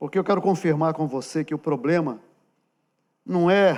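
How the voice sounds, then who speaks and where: At a fairly slow pace with ordinary pitch variation, the voice comes through in a very clean recording with a silent background. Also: man. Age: 60s. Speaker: pastor. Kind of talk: sermon. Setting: church. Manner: conversational, direct address to congregation.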